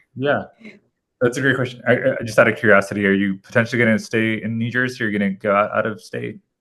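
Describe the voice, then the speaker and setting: Speaking at a very fast pace, a man with a medium pitch has a bright, sharp tone and fairly even intonation. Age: 30s. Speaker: city council member. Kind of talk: casual Q&A on video call. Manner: repetitive, many fillers and restarts.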